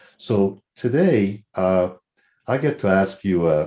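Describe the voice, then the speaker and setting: A very deep, low male voice with a dark, mellow tone. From Iran. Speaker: TV co-host. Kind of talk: panel interview. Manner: halting.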